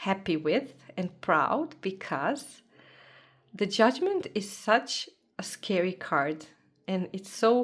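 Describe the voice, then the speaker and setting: A woman with a non-native accent at medium pitch, speaking at a very slow pace with long, frequent pauses. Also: lively intonation. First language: not English. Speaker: tarot content creator. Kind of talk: casual show-and-tell vlog. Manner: animated.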